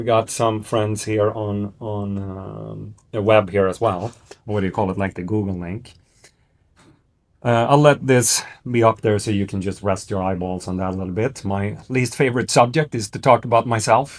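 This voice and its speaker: In a Swedish accent, a man talks at a moderate pace with a fairly low pitch. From northern Sweden. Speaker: investment firm CEO. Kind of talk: business presentation. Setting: stage with audience. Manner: hesitant, many fillers.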